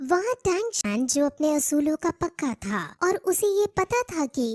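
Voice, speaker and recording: In a cartoonish character voice, a woman speaks at a high pitch with very wide pitch swings, the sound dry and close with no echo. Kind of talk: anime episode recap narration. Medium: read story. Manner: explanatory, steady.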